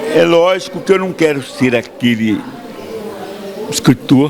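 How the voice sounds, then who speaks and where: A man with lively intonation at a fairly slow pace, over noticeable background noise. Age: 80s+. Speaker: author. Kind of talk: interview.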